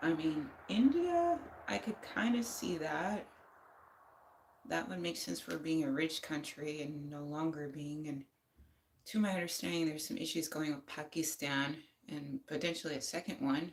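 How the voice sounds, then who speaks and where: A woman's very deep, low voice with an American accent, at a moderate pace with ordinary pitch variation. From United States. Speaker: livestreamer. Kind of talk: casual chat.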